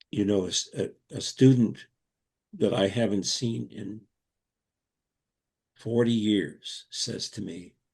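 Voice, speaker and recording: Speaking very slowly with long, frequent pauses, a man with a fairly low pitch and an American accent shows big swings in loudness and ordinary pitch variation. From US, Brooklyn, New York. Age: 80s+. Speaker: Montessori educator. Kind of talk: interview. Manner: halting.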